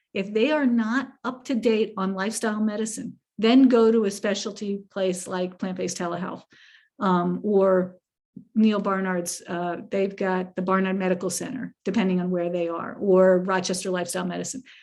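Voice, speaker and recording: At a moderate pace, a woman with a medium pitch talks in an unremarkable speaking voice. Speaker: family medicine physician. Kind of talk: lecture Q&A.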